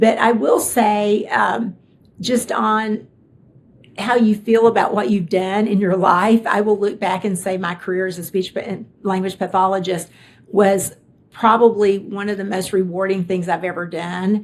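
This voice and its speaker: Someone with a Kentucky accent speaks at a fairly slow pace. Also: woman, medium pitch for a woman, fairly even intonation. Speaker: tech executive. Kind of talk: interview conversation.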